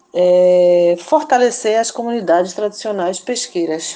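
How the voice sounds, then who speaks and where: A woman speaking at a fairly slow pace, with noticeable background noise. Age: 50s. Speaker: community activist and radio organizer. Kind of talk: interview. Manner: halting.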